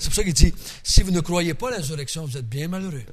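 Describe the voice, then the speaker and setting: A man with a Quebec accent speaks in a somewhat breathy voice with ordinary pitch variation, and room echo is audible. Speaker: Bible teacher. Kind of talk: Bible study teaching. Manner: casual, conversational.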